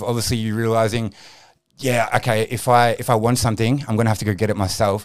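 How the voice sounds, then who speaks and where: A man with an Australian accent speaks fairly quickly at a medium pitch. The recording is very clean, with a silent background. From Australia, Frankston, Melbourne southeast. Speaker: podcast host. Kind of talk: scripted intro; casual interview chat.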